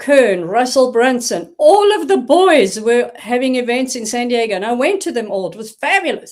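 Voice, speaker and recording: A woman speaks with a high pitch at a moderate pace. Her intonation is lively. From South Africa. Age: 60s. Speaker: reinvention coach and tech helper. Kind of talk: interview conversation.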